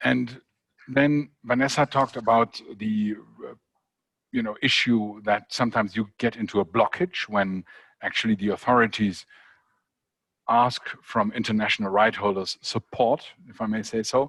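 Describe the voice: A man speaks at a fairly low pitch and moderate pace with fairly even intonation. His tone is fairly bright, and the sound is dry and close with no echo.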